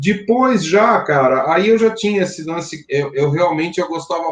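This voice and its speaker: Music plays in the background as a man speaks fairly slowly in a high pitch with very wide pitch swings. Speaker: rock band singer and songwriter. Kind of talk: interview. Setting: live stream. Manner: hesitant, many fillers.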